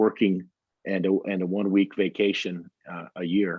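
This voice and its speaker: The speech comes in a Texan accent with monotone, flat intonation. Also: man. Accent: Texan American English. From Texas. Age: 60s. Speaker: pilgrim and hiker. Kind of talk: interview. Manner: halting.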